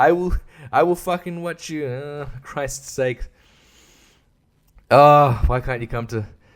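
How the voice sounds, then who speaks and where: A man with a fairly high pitch speaks very slowly, leaving long, frequent pauses. The recording is very clean, with a silent background. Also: ordinary pitch variation. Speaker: podcaster. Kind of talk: casual monologue. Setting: at home at night. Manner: animated; kept quiet to not wake baby.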